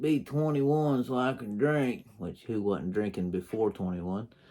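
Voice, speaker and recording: This is a man with an unremarkable speaking voice. His pitch variation is ordinary. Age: 40s. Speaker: toy collector YouTuber reviewing action figures. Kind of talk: casual video review monologue. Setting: home, talking to camera. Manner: casual, rambling.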